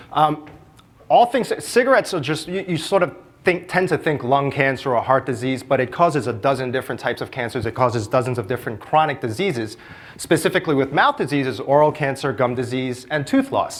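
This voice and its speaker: Speaking with an American accent, a man talks at a fairly quick pace in a fairly high pitch. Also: ordinary pitch variation. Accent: Brooklyn accent, mostly shed. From New York City (Brooklyn). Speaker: public health researcher. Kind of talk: conference talk.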